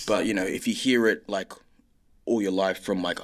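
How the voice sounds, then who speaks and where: A man talks at a fairly quick pace with an Australian accent. The recording is very clean, with a silent background. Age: young. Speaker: filmmaker and writer. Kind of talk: interview answer. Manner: casual, hesitant.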